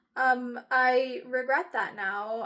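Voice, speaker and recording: Her tone bright and sharp, a woman speaks at a high pitch. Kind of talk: apology talk to camera. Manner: hesitant, halting.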